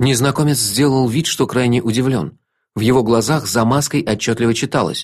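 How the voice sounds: Quiet surroundings behind a natural reading voice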